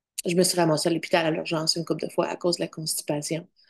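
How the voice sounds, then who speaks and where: Speaking at a very fast pace, a woman with a fairly low voice keeps a monotone, flat intonation. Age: 50s. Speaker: vlogger sharing diet experience. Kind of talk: personal testimony vlog. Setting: at home in front of computer. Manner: halting, searching for words.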